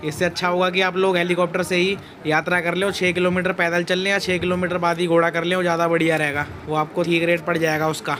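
Over clear background noise, a man speaks fast with few pauses, his high-pitched voice showing little pitch movement.

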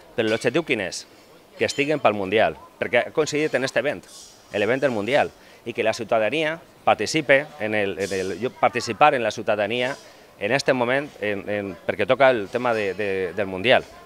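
Dry, echo-free sound with faint background music, ordinary pitch variation and a moderate pace. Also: man, medium pitch for a man. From Gandia, Valencia region; Valencia region. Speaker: business manager; interviewee. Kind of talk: interview. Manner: halting. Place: cafe. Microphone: handheld.

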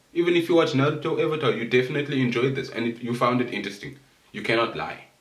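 Audible room echo trails the voice of this man as he speaks. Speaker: anime commentary youtuber. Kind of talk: casual vlog chat. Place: home room. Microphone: camera far.

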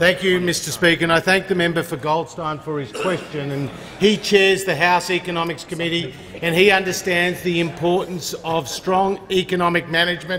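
Over light background noise, a man talks at a moderate pace with high pitch and fairly even intonation. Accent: Australian. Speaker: government minister. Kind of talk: parliamentary debate. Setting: parliament chamber. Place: hall. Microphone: podium.

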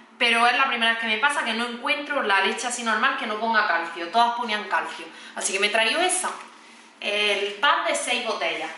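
With lively intonation and an animated tone, the speech moves at a fairly quick pace amid audible room echo. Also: woman, fairly high pitch for a woman. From Spain. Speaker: family vlogger, mother; family vlogger. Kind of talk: casual vlog talking to camera. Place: kitchen. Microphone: camera far.

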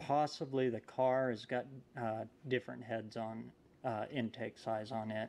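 At a fairly slow pace, a man talks, his pitch varying in an ordinary way. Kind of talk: casual tutorial commentary. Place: garage. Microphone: phone near.

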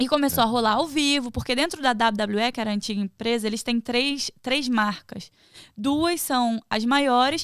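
A woman speaks in a high voice at a moderate pace with ordinary pitch variation, her sound dry with no echo and the background quiet. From Rio de Janeiro state, Brazil. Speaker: professional wrestler; podcast guest. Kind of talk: casual chat. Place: studio. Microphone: studio mic.

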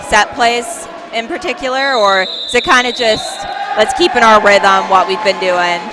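A woman speaks at a fairly slow pace with an energetic tone. Clear music sounds in the background. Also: dry sound with no echo. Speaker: play-by-play commentator. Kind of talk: live sports play-by-play commentary. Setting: college gymnasium broadcast. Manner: brisk, energetic, clear. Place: hall.

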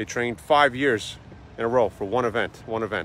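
A man at a moderate pace, dry sound with no echo, light background noise. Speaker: motivational vlogger. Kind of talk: motivational vlog talk. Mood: earnest, encouraging. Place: waterside. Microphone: phone near.

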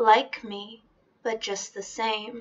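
A woman's fairly high, monotone, flat voice over a quiet background. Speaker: poetry reader. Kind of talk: spoken-word reading of a defiant feminist poem. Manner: rhythmic, emphatic spoken-word cadence with repeated refrains. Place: home room. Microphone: webcam.

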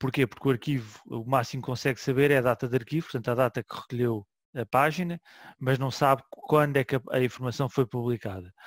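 A man talks at a very fast pace with medium pitch and fairly even intonation. The sound is dry with no echo over a quiet background. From Portugal. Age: 40s. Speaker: web archive manager and session host; session host. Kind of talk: online seminar hosting. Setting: online session from home. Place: home room. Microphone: headset.

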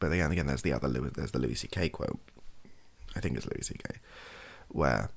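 Vocal fry runs through a man's very deep, low-pitched voice. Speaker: streamer or podcaster. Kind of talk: casual opinion chat. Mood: thoughtful, hedging. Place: home room.

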